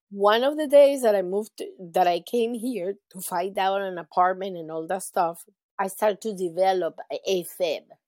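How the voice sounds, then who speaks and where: With a Spanish accent and a dark, mellow tone, a woman speaks at medium pitch and a moderate pace with lively intonation, in a dry, close recording with no echo. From Venezuela. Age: 50s. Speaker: heart patient and charity founder. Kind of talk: interview.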